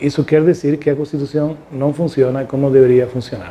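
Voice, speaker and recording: A man's dark, mellow, fairly high-pitched voice with a Spanish accent. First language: Spanish (speaking Portuguese). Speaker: constitutional law professor. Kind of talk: interview. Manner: halting.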